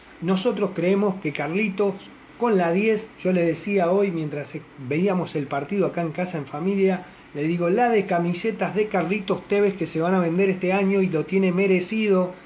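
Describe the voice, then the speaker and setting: A man with a high voice amid noticeable background noise. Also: moderate pace. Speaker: football fan radio show host. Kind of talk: casual fan call-in show. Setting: home studio, live on Facebook. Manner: animated.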